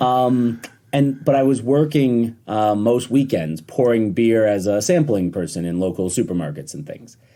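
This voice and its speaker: Speaking with an upstate New York accent, a man has a dark, mellow tone at a medium pitch. He moves at a moderate pace with lively intonation. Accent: upstate New York American. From US, upstate New York (Rochester). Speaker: distiller. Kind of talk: podcast interview. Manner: relaxed, hesitant fillers.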